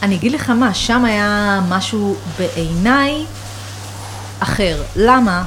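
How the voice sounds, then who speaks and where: Noticeable background noise and audible room echo surround a woman at a medium pitch. She speaks at a very slow pace with long, frequent pauses. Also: ordinary pitch variation. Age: 30s. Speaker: food journalist. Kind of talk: casual chat. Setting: home kitchen loft.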